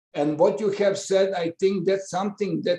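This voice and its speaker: A man speaks with a Serbo-Croatian accent. His high-pitched voice has a dark, mellow tone. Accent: Balkan (Serbo-Croatian) English. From Balkans (Croatia/Serbia/Montenegro). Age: 60s. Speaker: professor. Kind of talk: webinar remarks. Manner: halting, many fillers.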